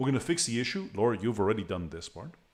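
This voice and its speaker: Talking at a very fast pace with a non-native accent, a man speaks at a medium pitch with very wide pitch swings. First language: not English. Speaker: meetup organizer and presenter. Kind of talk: tutorial. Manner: halting, many repetitions.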